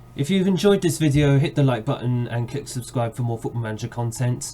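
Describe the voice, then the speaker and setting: This is a man speaking. He has a London accent. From London, England. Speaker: video game streamer. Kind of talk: gameplay commentary; video outro. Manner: fast; casual, with filler uhs.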